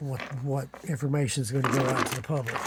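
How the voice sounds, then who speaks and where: Somewhat breathy, a man of medium pitch speaks with an Appalachian accent. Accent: Appalachian hillbilly. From Eastern Kentucky. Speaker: amateur artifact collector. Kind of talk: casual video monologue.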